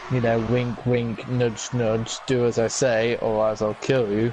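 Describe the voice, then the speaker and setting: Words come at a very slow pace in a monotone, flat intonation. Noticeable background noise sits behind them. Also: man. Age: young. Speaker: co-commentator. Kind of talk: casual chat.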